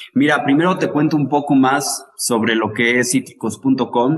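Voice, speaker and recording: A man talks in a plain, everyday voice at a fairly slow pace and medium pitch. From Mexico, Teziutlán, Puebla. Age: 20s. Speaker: lime grower and marketer. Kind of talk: interview.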